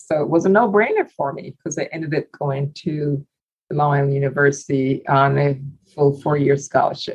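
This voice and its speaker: Somewhat breathy and very deep in pitch, a woman with an American accent talks at a moderate pace with ordinary pitch variation. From Barbados, then Brooklyn from 15. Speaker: transplant surgeon. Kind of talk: interview.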